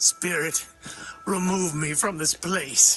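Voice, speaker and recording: A raspy, put-on character voice at middle pitch moves at a fairly slow pace. Music plays clearly in the background. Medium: audio drama.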